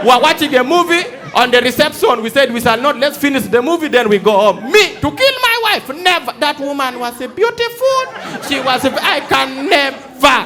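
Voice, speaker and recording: A man's raised, projected, extremely high-pitched voice with an animated tone and lively intonation at a moderate pace, with crowd noise in the background. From Uganda. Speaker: stand-up comedian. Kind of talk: live stand-up comedy to a theatre audience. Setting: live theatre with audience. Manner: animated, storytelling.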